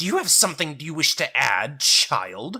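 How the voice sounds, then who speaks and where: A man puts on a character voice with a fairly high pitch. He speaks at a moderate pace. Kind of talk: fire-and-brimstone sermon. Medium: audio drama. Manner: haughty, self-righteous, condescending.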